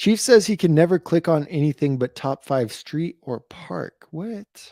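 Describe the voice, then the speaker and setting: A quiet man's fairly high voice with a dark, mellow tone, lively intonation, big swings in loudness and a fairly slow pace, in a dry, close sound with no echo. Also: very clean recording, silent background. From New Mexico. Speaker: BMX YouTuber. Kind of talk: live stream chat. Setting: live stream. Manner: moderately quiet.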